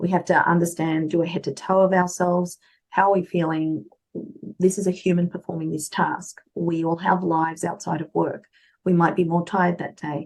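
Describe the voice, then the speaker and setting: A woman with an Australian accent, fairly low in pitch, at a moderate pace with fairly even intonation. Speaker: medical interpreter and translator. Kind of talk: interview.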